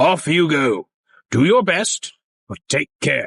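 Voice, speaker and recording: Putting on a character voice, a man speaks high-pitched, raspy and stern at a fairly slow pace, with a dry, close sound and no echo. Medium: read story.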